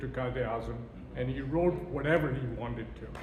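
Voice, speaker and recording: A man talks fairly quickly while noticeable background noise and audible room echo fill the recording. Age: 60s. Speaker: event speaker. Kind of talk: speech. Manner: animated.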